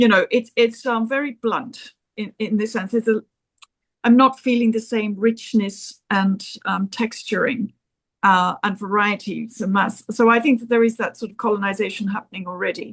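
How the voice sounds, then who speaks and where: Her voice somewhat breathy and fairly high, a woman speaks at a moderate pace with fairly even intonation. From South Africa. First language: an African language. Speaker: discussion participant. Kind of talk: panel discussion. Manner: halting.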